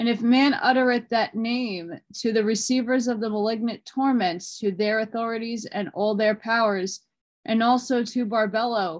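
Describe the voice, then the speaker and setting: The background stays quiet while a woman talks at a moderate pace. Her intonation is fairly even. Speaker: reader of an old text. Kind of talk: reading aloud. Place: home room. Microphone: phone near.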